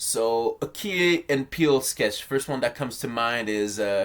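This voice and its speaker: Lively intonation marks this man's delivery at a fairly slow pace. The recording is very clean, with a silent background. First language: not English. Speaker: video essayist on film. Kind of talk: casual commentary video. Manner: halting, many fillers.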